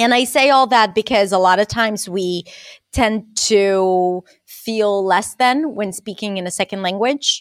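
In a very clean recording with a silent background and a dry, close sound with no echo, a woman with an Israeli accent speaks at a fairly slow pace with ordinary pitch variation. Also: medium pitch for a woman. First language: Hebrew. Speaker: accent and communication coach. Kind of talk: casual interview chat.

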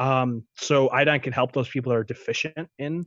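A man with an ordinary speaking voice and fairly even intonation. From born in Ukraine, raised in the US from age four. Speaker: naturopathic doctor. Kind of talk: interview conversation.

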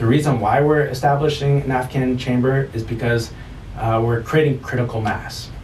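A man's medium-pitched voice with an American accent, at a moderate pace, with fairly even intonation, noticeable background noise and audible room echo. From US Midwest, St. Louis. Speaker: nonprofit community support manager. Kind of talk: interview. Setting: studio. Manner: hesitant, many fillers.

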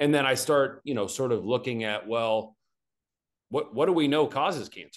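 A man with an American accent talks in a plain, everyday voice at medium pitch and moderate pace, with ordinary pitch variation and a quiet background. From Arkansas, US South. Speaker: naturopathic oncologist. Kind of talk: interview, medical explanation.

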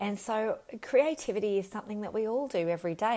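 A woman speaks with an Australian accent. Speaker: leadership coach and psychologist. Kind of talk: solo podcast monologue. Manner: unscripted, with fillers.

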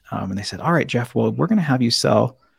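With an American accent and vocal fry, a man speaks at medium pitch in a dry, close sound with no echo. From US Northwest, South Seattle. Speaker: board game designer and comedian. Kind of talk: podcast interview. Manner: halting, many repetitions.

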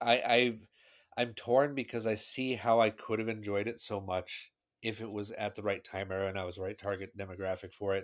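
With an American accent and a normal speaking voice, the speaker talks at a fairly quick pace with fairly even intonation on a very clean recording over a silent background. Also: man, fairly low pitch for a man. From US Pacific Northwest, Seattle. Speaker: podcast guest, tech nerd. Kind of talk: casual chat.

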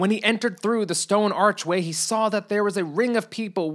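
The reading voice sounds unforced. Pitch moves up and down in an ordinary way.

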